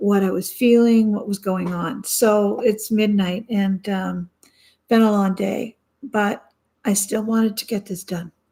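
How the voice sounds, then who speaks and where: At a fairly slow pace, a woman speaks in a somewhat breathy, flat, monotone way. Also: medium pitch for a woman. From Canada. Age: 60s. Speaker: vlogger. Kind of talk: personal video diary. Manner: halting, many fillers.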